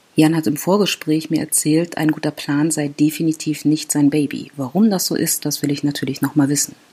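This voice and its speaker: A woman talks at a fairly quick pace with hardly any pauses, her pitch very deep and low and her intonation fairly even. Noticeable background noise sits behind her. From Berlin, Germany. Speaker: podcast host, stress management coach. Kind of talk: casual interview. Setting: publisher's office.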